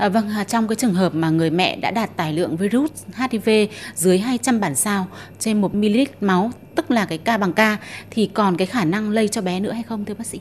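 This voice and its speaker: A woman's ordinary speaking voice at medium pitch, with ordinary pitch variation and a moderate pace. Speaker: reporter. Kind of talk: interview. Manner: formal.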